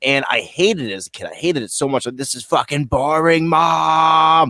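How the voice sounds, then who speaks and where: He is a man speaking with a New England accent. The recording is very clean, with a silent background and a dry, close sound with no echo. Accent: New England American. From Vermont. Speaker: podcast co-host. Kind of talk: casual chat.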